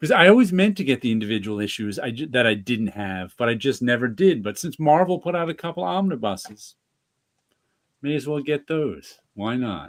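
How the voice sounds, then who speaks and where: At a moderate pace, the speaker uses a Northeastern US accent with very wide pitch swings. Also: man, medium pitch for a man. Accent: Northeastern US accent, comes out often. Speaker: comics podcast co-host, teacher. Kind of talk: casual chat. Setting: remote live stream.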